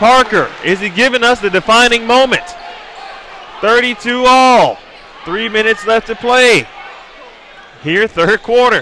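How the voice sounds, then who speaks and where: A man's raised, projected voice at a high pitch amid noticeable background noise. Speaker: play-by-play commentator. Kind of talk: live commentary. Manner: loud; animated.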